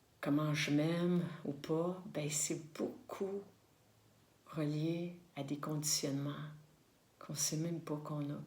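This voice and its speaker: Through an audible room echo, a woman speaks very slowly at a very deep, low pitch, somewhat breathy and fairly even in intonation, with long, frequent pauses. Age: 60s. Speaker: spiritual vlogger. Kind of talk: reflective monologue to camera. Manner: halting, many fillers and repetitions.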